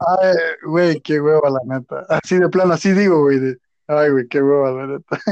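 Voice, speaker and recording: In a plain, everyday voice, a man speaks at a fairly high pitch with ordinary pitch variation. The pace is fairly slow and the sound is dry and close, with no echo. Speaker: podcast co-host. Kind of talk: casual chat.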